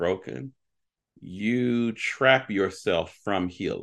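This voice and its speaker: A man with a fairly low pitch, lively intonation and a normal speaking voice, over a quiet background. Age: 40s. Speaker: pastor. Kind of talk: casual chat.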